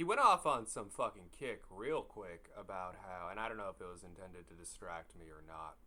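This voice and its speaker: This man's voice has a bright, sharp tone. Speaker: horror story narrator. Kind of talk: casual personal storytelling. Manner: casual, rambling.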